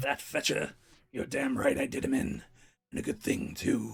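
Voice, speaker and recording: A man uses a raspy, put-on character voice at an extremely high pitch. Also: moderate pace. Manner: defiant, unrepentant.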